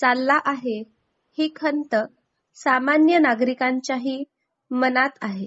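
With ordinary pitch variation, a woman's voice sits high. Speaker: shorthand dictation reader. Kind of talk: shorthand dictation reading.

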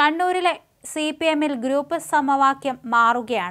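A woman's bright, sharp tone at a high pitch, with ordinary pitch variation and a moderate pace

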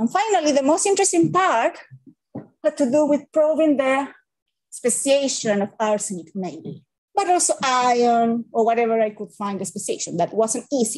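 Speaking with a Spanish accent, a woman uses a high pitch and very wide pitch swings at a moderate pace over a quiet background. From Chile. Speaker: civil engineering professor; presenter. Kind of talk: academic seminar lecture. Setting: hybrid webinar with live audience. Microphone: webcam.

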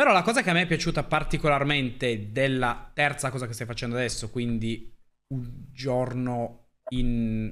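Bright and sharp in tone, a man talks at a moderate pace with ordinary pitch variation. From Piedmont, northern Italy (Pinerolo); Piedmont, Italy. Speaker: streamer. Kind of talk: casual chat. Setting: live stream. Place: home room. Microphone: studio mic.

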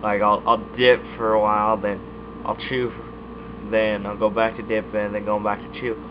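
Noticeable background noise sits behind a man talking at a fairly slow pace and fairly low pitch. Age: young. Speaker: YouTuber reviewing dip tobacco. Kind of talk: casual vlog monologue. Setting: recording alone at webcam. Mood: relaxed, laid-back. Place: home room. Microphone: webcam.

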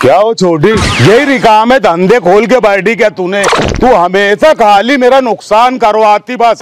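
A man speaks at a very slow pace. The sound is dry with no echo, with noticeable background noise. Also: ordinary pitch variation. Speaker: comedy sketch actor. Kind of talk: scripted comedic argument. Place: street.

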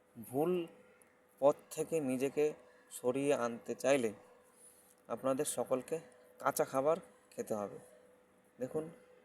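A man speaks in a normal speaking voice at medium pitch with fairly even intonation. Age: 30s. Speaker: health vlogger. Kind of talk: casual advice monologue.

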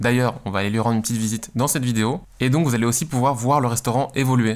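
The voice moves at a very fast pace with fairly even intonation. The background is quiet. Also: man. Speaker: graphic designer youtuber. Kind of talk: casual vlog chat. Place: home room. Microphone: studio mic.

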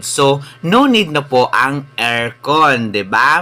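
Here is a man with an ordinary speaking voice. His pitch is fairly high, with ordinary variation. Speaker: travel and food vlogger. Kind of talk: vlog narration. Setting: outdoors at open-air restaurant. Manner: casual, filler-heavy.

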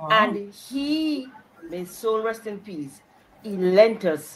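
A woman speaks at a very slow pace with very wide pitch swings. Light background noise can be heard. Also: big swings in loudness. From Jamaica. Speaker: cultural commissioner. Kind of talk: casual chat. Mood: warm, reminiscing. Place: home room. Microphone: video call.

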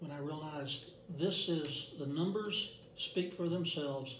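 A man's fairly high voice, fairly slow and fairly even in intonation, with audible room echo and light background noise. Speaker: direct sales representative. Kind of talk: interview. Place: meeting room. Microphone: camera far.

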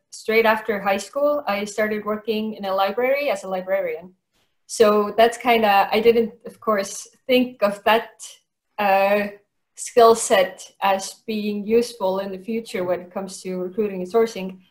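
A woman's fairly even intonation carries at a moderate pace over a quiet background. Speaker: remote interview guest. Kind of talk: interview answer. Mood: cheerful, relaxed. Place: home room. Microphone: webcam.

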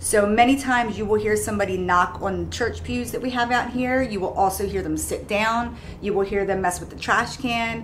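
A woman speaks at a moderate pace with hardly any pauses. Light background noise sits behind her. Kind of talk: guided tour explanation. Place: shop.

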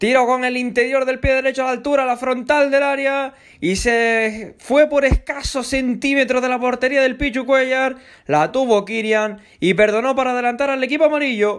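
The pace is moderate and the intonation fairly even. The background stays quiet. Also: man, extremely high pitch for a man. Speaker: football radio commentator. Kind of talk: live football commentary. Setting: radio broadcast.

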